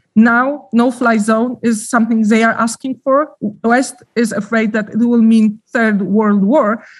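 Speaking with a Polish accent, the woman has a fairly high, somewhat breathy voice with monotone, flat intonation, very even loudness and hardly any pauses. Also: fairly slow pace. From Poland. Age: 40s. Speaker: journalist. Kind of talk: interview. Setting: remote call from Ukraine. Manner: halting.

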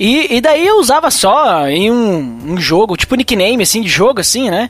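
A man's high-pitched voice at a moderate pace, with very wide pitch swings and noticeable background noise. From southern Brazil, Serra Gaúcha (Rio Grande do Sul). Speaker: podcaster and church youth leader. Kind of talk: casual chat.

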